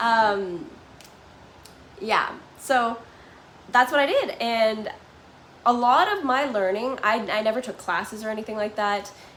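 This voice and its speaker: A woman with an American accent and a fairly high pitch speaks at a fairly slow pace, with long, frequent pauses. Her pitch varies in an ordinary way, and noticeable background noise is present. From Canada, Toronto. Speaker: vlogger living abroad. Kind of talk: live stream chat with viewers. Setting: live stream at home. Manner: casual, filler-heavy.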